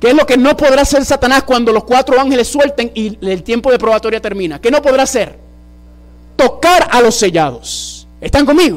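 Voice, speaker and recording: The delivery moves at a moderate pace with an animated tone. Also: man, extremely high pitch for a man, ordinary pitch variation. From US, New York City, Puerto Rican and Dominican parents. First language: English (speaking Spanish). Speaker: preacher. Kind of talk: sermon. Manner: animated, asks audience questions.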